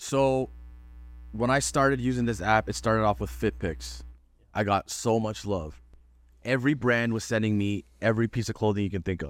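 A man's fairly low voice with a Toronto accent at a moderate pace. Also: ordinary pitch variation. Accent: Toronto Canadian English. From Canada (Toronto, Ontario). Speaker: professional golfer. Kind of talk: casual chat. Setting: in-person studio. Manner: animated.

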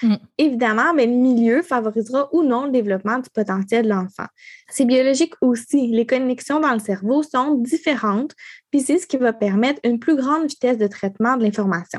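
A woman with a strong Quebec accent speaks fairly quickly at a high pitch with ordinary pitch variation, in a dry, close sound with no echo. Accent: strong Québécois. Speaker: podcast co-host. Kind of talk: casual chat.

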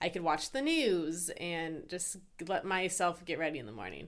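A woman has a normal speaking voice at a medium pitch and moderate pace. The recording is very clean, with a silent background. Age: 30s. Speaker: podcast co-host, behavior analyst. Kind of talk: casual chat.

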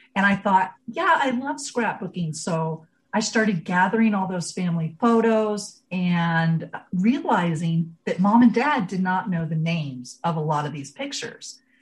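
A woman speaks at a fairly slow pace with an American accent. Her intonation is lively and her voice somewhat breathy. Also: medium pitch for a woman. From rural Ohio, US Midwest. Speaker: genealogy educator and blogger. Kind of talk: casual interview.

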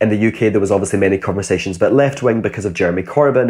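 A man with a Glasgow accent, very fast and with lively intonation. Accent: Glasgow Scottish. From Scotland, Glasgow. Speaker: author and educator. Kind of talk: interview.

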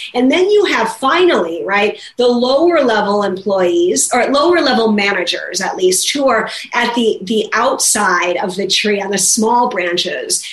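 Over noticeable background noise, a woman with a fairly high pitch speaks at a fairly slow pace with lively intonation. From US Midwest, Minnesota. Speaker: business professor and author. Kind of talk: interview.

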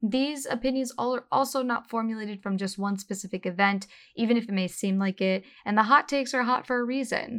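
A woman talks in an ordinary speaking voice, fairly high in pitch with ordinary pitch variation. The recording is very clean, with a silent background. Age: 30s. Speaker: podcast host. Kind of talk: solo casual monologue. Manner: casual, laughing.

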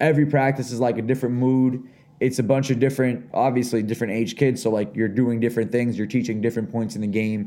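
A man with a dark, mellow tone and a medium pitch speaks at a very fast pace with fairly even intonation. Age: 30s. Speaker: podcast co-host and youth basketball coach. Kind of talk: casual chat.

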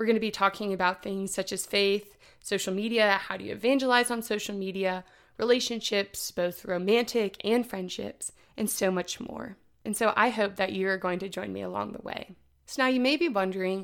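A woman in a Midwestern American accent, at a moderate pace. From Indianapolis, Indiana, US Midwest. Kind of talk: casual solo podcast monologue. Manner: upbeat, enthusiastic.

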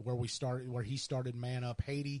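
Very fast and somewhat breathy, a man speaks in a medium pitch with a dark, mellow tone. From Missouri (High Ridge, near St. Louis). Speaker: podcast co-host. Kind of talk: casual chat.

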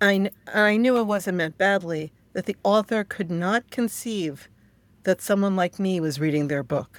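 This is a normal speaking voice with an American accent. The sound is dry and close with no echo, in a very clean recording with a silent background. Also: woman, medium pitch for a woman, ordinary pitch variation, moderate pace. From New York. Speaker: author and witchcraft practitioner. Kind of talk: interview.

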